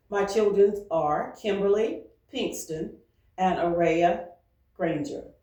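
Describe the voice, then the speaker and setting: In a room with audible echo, a woman of medium pitch speaks very slowly with ordinary pitch variation and long, frequent pauses. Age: 70s. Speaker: retired teacher. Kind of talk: interview.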